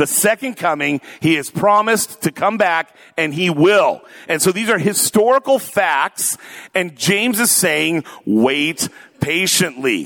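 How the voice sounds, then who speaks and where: A man with an American accent speaks high at a fairly slow pace. The sound is dry and close with no echo. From US Pacific Northwest (Tacoma, Washington). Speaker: pastor. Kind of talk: sermon. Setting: church.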